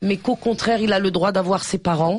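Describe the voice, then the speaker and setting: A woman talks at a medium pitch with clearly audible background noise behind her. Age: 50s. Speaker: activist. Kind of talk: radio talk.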